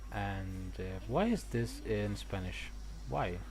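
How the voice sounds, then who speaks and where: A man is speaking. The room echo is audible. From Italy. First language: Italian. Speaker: gaming streamer. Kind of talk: casual live-stream chat. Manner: halting, many repetitions.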